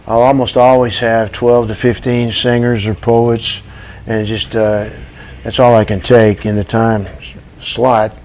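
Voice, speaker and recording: Over noticeable background noise, a man speaks at a fairly slow pace with monotone, flat intonation. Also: medium pitch for a man. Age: 70s. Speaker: coffee shop owner. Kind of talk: TV interview. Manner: halting.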